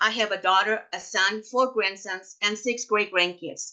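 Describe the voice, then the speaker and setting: In an American accent, a woman speaks at medium pitch with a bright, sharp tone and ordinary pitch variation. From Mexico (Mexicali, Baja California). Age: 70s. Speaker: cancer survivor and patient advocate. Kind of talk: prepared personal testimony. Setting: webinar.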